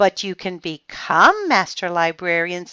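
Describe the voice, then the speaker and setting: A female-sounding voice performs a put-on character voice at a medium pitch for a woman. The pace is fairly slow. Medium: read story. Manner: calm, gentle.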